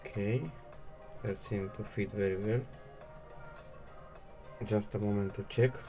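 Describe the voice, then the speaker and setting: Over music in the background, a man with a non-native accent speaks slowly and fairly evenly in a fairly low pitch, pausing long and often. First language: not English. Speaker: 3D printing hobbyist. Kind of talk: casual unboxing and assembly talk to camera. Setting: home recording, poor audio.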